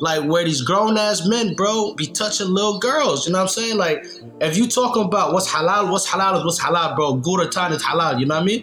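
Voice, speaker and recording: Amid noticeable background noise and audible room echo, a man with a high pitch speaks at very even loudness with ordinary pitch variation. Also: fairly quick pace, hardly any pauses. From Nashville, Tennessee, US South. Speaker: podcast co-host. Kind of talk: casual chat.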